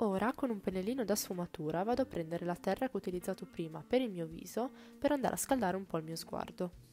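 Lively intonation runs through very fast speech, with faint music in the background. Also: woman. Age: 20s. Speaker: beauty YouTuber. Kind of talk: makeup tutorial narration.

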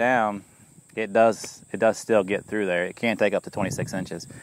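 A man's monotone, flat voice at a moderate pace, dry with no echo. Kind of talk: tutorial. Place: open country.

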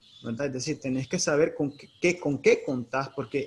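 A somewhat breathy, fairly high-pitched man with a Nicaraguan accent, ordinary pitch variation and a fairly quick pace. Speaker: teacher. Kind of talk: expert interview. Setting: Facebook Live stream.

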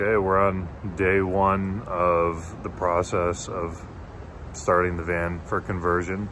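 Light background noise sits behind a man's very deep, low voice, and the sound is dry with no echo. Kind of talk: casual vlog chat. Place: garage. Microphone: phone near.

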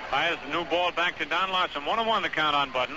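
A man with a high pitch and ordinary pitch variation speaks at a fairly quick pace, the sound dry with no echo but with noticeable background noise. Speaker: baseball play-by-play radio announcer. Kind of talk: live sports radio play-by-play commentary. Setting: vintage 1958 radio broadcast recording. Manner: fast, excited, fluent. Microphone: old recording.

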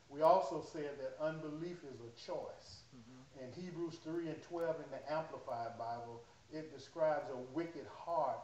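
Light background noise and audible room echo around a man talking at a moderate speed. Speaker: pastor. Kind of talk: sermon. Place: church. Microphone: camera far.

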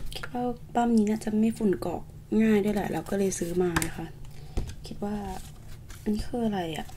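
A soft-spoken woman talks at a medium pitch in a gentle tone. Her intonation stays fairly even. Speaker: ASMR creator. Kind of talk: ASMR unboxing, casual talk to camera. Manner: soft-spoken, gentle.

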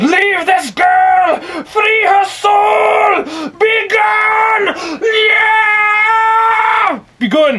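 A man shouting in a put-on character voice, extremely high-pitched and very slow. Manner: gruff, cursing.

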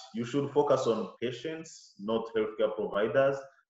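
The recording has a quiet background and audible room echo. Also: man. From Rwanda. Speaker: surgeon and lecturer; lecturer. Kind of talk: lecture. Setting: video call. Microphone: webcam.

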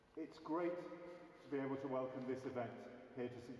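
Medium-pitched male speech, ordinary pitch movement, echo from the room and noticeable noise behind. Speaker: gallery curator. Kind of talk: event introduction. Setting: cathedral with live audience.

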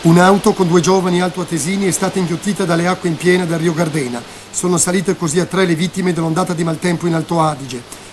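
A man talks very fast in a high voice with fairly even intonation. Music plays in the background. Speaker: regional news reporter. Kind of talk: TV news report voice-over, scripted. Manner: brisk, formal, informative.

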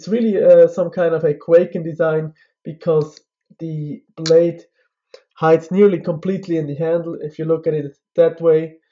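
A man's high-pitched, monotone voice with flat intonation, big swings in loudness, and a moderate pace. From Switzerland. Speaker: knife reviewer YouTuber. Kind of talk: product review.

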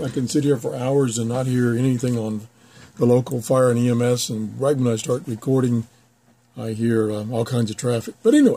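A somewhat breathy male voice at a fairly quick pace, with fairly even intonation. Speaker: radio hobbyist. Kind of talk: tutorial. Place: office. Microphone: camera far.

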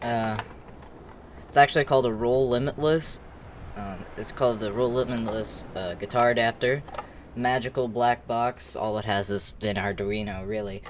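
The speaker is a man talking at a moderate speed. He keeps his intonation fairly even. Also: medium pitch for a man.

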